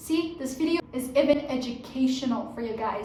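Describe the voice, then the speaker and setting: Amid noticeable background noise and audible room echo, a woman speaks in an animated tone at a high pitch, with ordinary pitch variation and a moderate pace. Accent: Persian. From Iran. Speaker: fashion YouTuber. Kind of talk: casual vlog.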